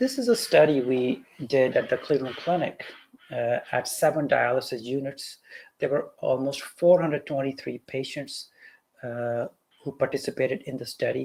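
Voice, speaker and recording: A man with a Pakistani accent speaks at a moderate pace on a very clean recording with a silent background. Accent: South Asian (Pakistani) English. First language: Urdu. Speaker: physician. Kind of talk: lecture.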